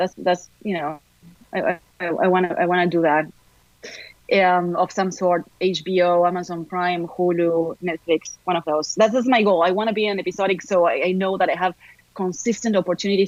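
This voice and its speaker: In an Argentine accent, a speaker talks at a fairly quick pace with fairly even intonation, the sound dry and close with no echo. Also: woman. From Argentina, Buenos Aires. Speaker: actor. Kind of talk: interview.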